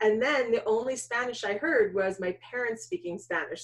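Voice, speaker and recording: In a New York accent, a woman speaks at a moderate pace. Her pitch is fairly high. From US Northeast, New York suburbs. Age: 40s. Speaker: documentary filmmaker. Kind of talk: interview.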